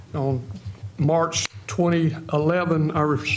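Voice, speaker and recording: A man's fairly high voice with a coastal North Carolina accent, plus noticeable background noise and audible room echo. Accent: Southern US (coastal North Carolina). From US South, North Carolina. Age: 70s. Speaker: retired firefighter, mayoral candidate. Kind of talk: candidate forum opening statement.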